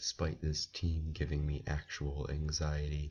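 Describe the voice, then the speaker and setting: With vocal fry, a man talks at a fairly slow pace in a very deep, low pitch and monotone, flat intonation. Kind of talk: sports commentary talking to camera.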